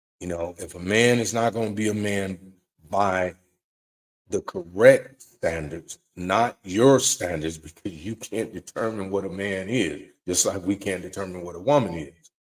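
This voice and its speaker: With a plain, everyday voice, a man speaks at a fairly slow pace and fairly low pitch, with ordinary pitch variation and big swings in loudness. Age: 60s. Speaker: live-stream show host taking callers. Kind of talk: casual monologue on relationships. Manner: repeats and stumbles over words.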